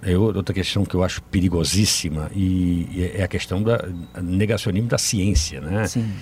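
A man with a very deep, low voice speaks at a moderate pace, somewhat breathy, with ordinary pitch variation. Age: 50s. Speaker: sports journalist. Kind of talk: casual chat.

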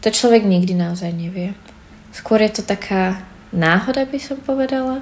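A woman with a fairly high pitch talks at a moderate pace amid noticeable background noise. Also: ordinary pitch variation. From Slovakia. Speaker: student abroad. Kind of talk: documentary interview.

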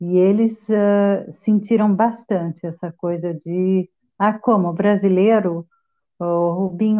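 Fairly even intonation shapes this speech. The speaker is a woman. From Brazil. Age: 50s. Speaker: interview guest, migrant. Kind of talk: interview.

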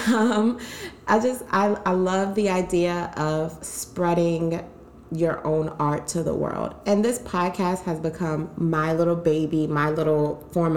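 A woman speaks at a fairly low pitch with ordinary pitch variation. Her pace is fairly slow. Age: 20s. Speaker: podcast host. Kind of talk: casual chat. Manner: animated.

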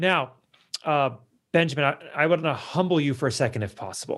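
Showing vocal fry, a man speaks at a fairly high pitch and a moderate pace. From US West Coast, California. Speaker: podcast host. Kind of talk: interview conversation. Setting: remote call.

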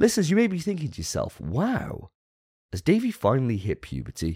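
The recording of this man with a British accent has a dry, close sound with no echo. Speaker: podcast host. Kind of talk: casual chat.

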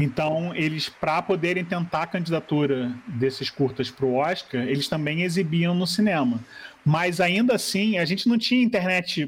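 A high-pitched man with lively intonation, a moderate pace and very even loudness. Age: 40s. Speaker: graphic designer and film blogger. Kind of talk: reading aloud; casual chat.

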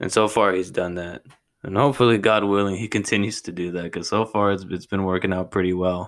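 A man at a fairly quick pace with monotone, flat intonation, on a very clean recording with a silent background. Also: fairly low pitch for a man. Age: 20s. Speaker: podcast host in addiction recovery. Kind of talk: personal monologue. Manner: halting.

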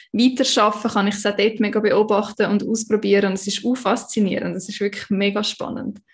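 A woman's somewhat breathy voice in a Swiss accent, fairly high in pitch, monotone and flat, at a moderate pace. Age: 20s. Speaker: human design coach. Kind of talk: casual interview.

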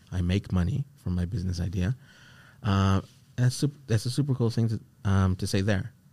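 A man's fairly low, dark and mellow voice, somewhat breathy, with ordinary pitch variation, a fairly quick pace broken by long, frequent pauses, on a very clean recording with a silent background. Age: 20s. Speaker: podcast host and entrepreneur. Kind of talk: casual chat.

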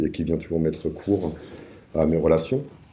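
Audible room echo surrounds a man whose very deep, low voice has a dark, mellow tone, fairly even intonation and a fairly quick pace. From Paris suburbs, France. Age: 40s. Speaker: podcast guest sharing life story. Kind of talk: personal testimony interview. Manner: hesitant, many fillers.

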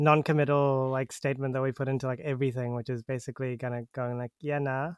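Speaking in a New Zealand accent, a man with a fairly high voice keeps a monotone, flat intonation. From New Zealand, Auckland. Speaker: podcast host. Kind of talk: casual chat. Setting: remote call.

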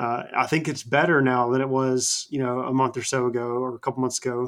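A man's medium-pitched voice at a moderate pace. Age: 20s. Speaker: wrestling podcast co-host. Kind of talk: casual chat.

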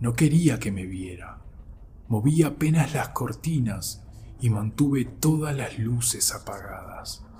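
Intonation lively, a man speaks at a very slow pace. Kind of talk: scary story telling, first-person account of a wolf sighting. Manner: slow, tense, hushed suspense with emphatic repetition; earnest, insistent, building dread.

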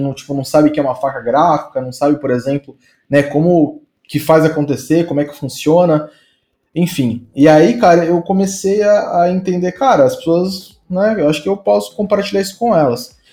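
With a dark, mellow tone, a man talks at a moderate pace in a fairly high pitch with ordinary pitch variation. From São Paulo state, Brazil (Santo André). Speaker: designer. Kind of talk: casual interview chat.

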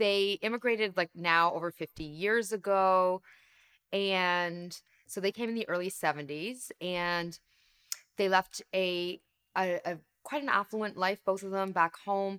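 An unremarkable speaking voice from a woman with a Canadian accent, medium in pitch, fairly slow and fairly even in intonation, on a very clean recording with a silent background and a dry, close sound with no echo. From Canada. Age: 40s. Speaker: leadership coach and author. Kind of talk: interview conversation.

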